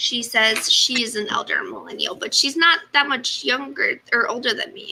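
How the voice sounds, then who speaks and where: A woman speaks in a raised, projected voice at a high pitch and a moderate pace, with very wide pitch swings and hardly any pauses. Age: 20s. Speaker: sewing livestream co-host. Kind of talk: casual chat. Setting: livestream video.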